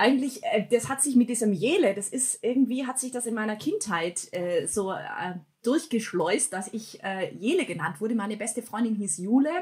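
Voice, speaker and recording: A woman with a normal speaking voice talks at a moderate pace, her pitch fairly high and her intonation lively. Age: 30s. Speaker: church worker building family worship initiatives. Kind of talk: casual interview chat.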